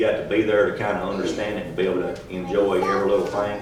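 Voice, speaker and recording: Background noise is noticeable. The room echo is audible too. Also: man. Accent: Texas. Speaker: church camp counselor. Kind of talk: testimony. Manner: monotone.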